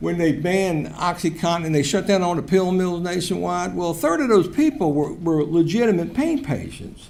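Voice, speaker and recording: With an American accent and a high voice, a man speaks at a moderate pace with ordinary pitch variation, amid noticeable background noise and audible room echo. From Virginia, Richmond. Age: 60s. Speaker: public commenter, recovery advocate. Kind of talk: public comment at council meeting.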